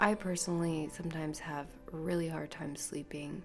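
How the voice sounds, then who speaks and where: A woman speaks at a fairly slow pace in a relaxed tone. Music plays in the background. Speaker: podcast host. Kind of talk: casual monologue. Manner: rambling, relaxed.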